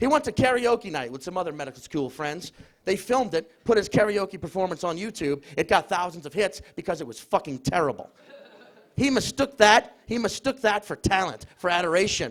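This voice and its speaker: Moving at a fairly quick pace, a man speaks in a high pitch with very wide pitch swings and big swings in loudness. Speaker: comedian. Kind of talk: comedic stage debate. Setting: stage with audience in a pub.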